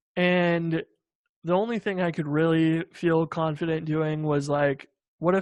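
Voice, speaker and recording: A man's fairly high voice at a fairly slow pace, with fairly even intonation against a quiet background. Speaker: software developer and founder. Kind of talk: interview. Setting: video call. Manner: monotone.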